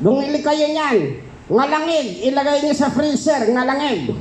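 A cartoonish character voice sits at a high pitch and moves at a fairly slow pace. Background noise is clear. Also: female-sounding voice. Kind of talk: comedy puppet show.

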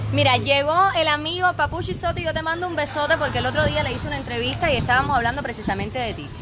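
Woman at a very fast pace with hardly any pauses, over noticeable background noise. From rural Cuba. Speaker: online entertainment show host. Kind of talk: live-stream interview. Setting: outdoor bar terrace. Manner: animated. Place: bar. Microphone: phone near.

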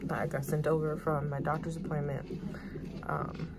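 A woman talks at a moderate pace. Loud background noise runs underneath. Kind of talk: casual vlog storytelling. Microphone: phone near.

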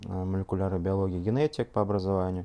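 A man's very deep, low voice carries a dark, mellow tone and fairly even intonation. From Russia, Ufa (Bashkortostan); Bashkortostan, Russia. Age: 30s. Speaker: scientist giving product testimonial. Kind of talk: testimony. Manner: halting, many filler sounds. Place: home room.

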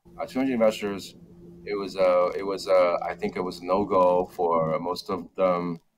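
Amid noticeable background noise, a man speaks with a very deep, low pitch and fairly even intonation. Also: moderate pace. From China (Wenzhou); China. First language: Mandarin Chinese. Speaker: startup founder; guest. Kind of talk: interview. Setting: video call. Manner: halting, many fillers and repetitions. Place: office. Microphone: video call.

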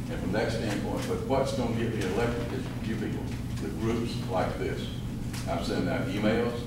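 The speech moves at a moderate pace, with loud background noise and audible room echo. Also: man. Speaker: political candidate. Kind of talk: campaign speech. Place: hall. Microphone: camera far.

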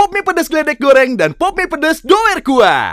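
A man with an extremely high pitch projects an upbeat, raised voice against a quiet background, the sound dry with no echo. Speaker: voice actor. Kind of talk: TV commercial read. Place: home room. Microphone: studio mic.

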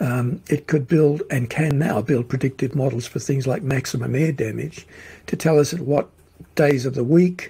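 With an Australian accent, a man speaks at a moderate pace in a somewhat breathy voice, his pitch fairly high and its variation ordinary. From Australia, Melbourne. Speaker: futurist and social commentator. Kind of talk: interview conversation. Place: office.

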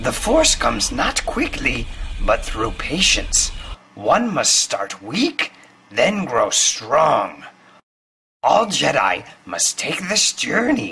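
In a raspy, cartoonish character voice, the speaker goes at a very slow pace with long, frequent pauses. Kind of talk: comic impression of famous film character. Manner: inverted word order, wise, patient.

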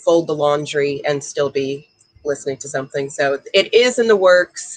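The speaking pace is moderate. The background is quiet. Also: woman. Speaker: author and ballroom dancer. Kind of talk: casual interview. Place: home room. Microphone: video call.

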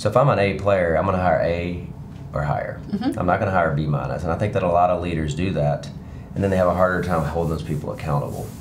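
This is a man with a very deep, low pitch. There is light background noise. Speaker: real estate broker. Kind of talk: interview answer. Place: studio. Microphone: lapel.

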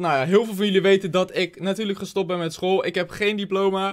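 The pace is fairly quick. This man has a high pitch. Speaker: vlogger; youtuber. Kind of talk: reaction video commentary. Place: home room. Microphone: studio mic.

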